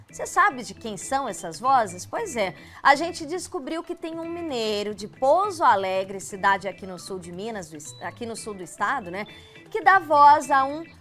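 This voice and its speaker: A woman speaks at a high pitch and a moderate pace with very wide pitch swings. Music plays in the background. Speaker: TV presenter. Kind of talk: TV interview host talk.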